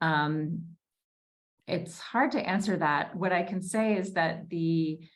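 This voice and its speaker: Audible room echo colors the audio. The talking moves fairly slowly, with ordinary pitch variation. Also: woman. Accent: American. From US Northeast, Newton, Massachusetts. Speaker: debut novelist. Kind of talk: Q&A at a virtual book launch.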